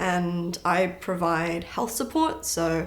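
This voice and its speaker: With a British accent and a medium pitch, a woman talks amid audible room echo. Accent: a bit of an accent, British-tinged. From born in London, grew up partly in New Zealand. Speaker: powerlifter. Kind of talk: casual interview.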